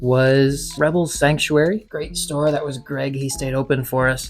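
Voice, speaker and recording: Over music in the background, a man is whispering. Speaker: comic collector vlogger. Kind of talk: casual vlog haul.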